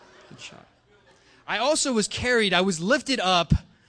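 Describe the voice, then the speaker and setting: A man with lively intonation at a moderate pace, over a quiet background. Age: 20s. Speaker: youth pastor. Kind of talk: sermon. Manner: halting, many fillers and restarts.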